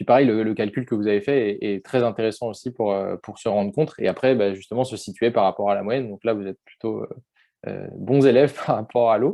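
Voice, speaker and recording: Talking at a fairly quick pace, a man with a normal speaking voice keeps a medium pitch and fairly even intonation. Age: 20s. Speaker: workshop facilitator. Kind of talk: online workshop discussion.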